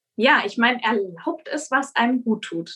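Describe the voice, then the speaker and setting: The speaker is a woman. Her pitch is fairly high. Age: 30s. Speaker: midwife. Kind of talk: expert interview. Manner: hesitant, many filler sounds.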